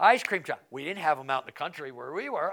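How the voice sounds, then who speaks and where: A man with an American accent on a very clean recording with a silent background. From Colorado, rural. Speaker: pastor. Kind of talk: Bible study lesson.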